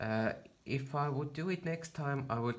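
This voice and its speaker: A man with a non-native accent. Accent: non-native accent, noticeable. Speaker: home chemistry hobbyist video maker. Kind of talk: tutorial. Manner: halting, many fillers.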